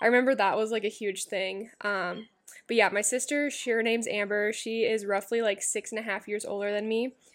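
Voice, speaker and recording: A woman's flat, monotone voice in a very clean recording with a silent background. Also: fairly high pitch for a woman. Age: 20s. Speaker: podcast host. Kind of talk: casual monologue, personal life story. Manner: casual, many filler words.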